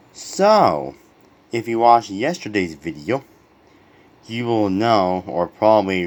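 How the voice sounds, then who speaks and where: At a very slow pace, a man speaks with long, frequent pauses. His fairly low voice carries lively intonation. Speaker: diecast car collector. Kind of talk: casual review talk to camera. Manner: stuttering.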